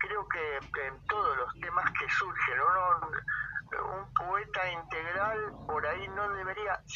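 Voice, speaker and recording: A man speaks at a very slow pace with hardly any pauses. There is noticeable background noise. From Argentina, Buenos Aires province (Moreno). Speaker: poet and poetry teacher. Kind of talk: interview.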